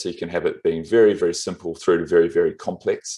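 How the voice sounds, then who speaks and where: A man talks at a fairly quick pace with a slight New Zealand accent. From New Zealand, Wellington. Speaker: motion graphics and video professional. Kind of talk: interview on a live stream tutorial.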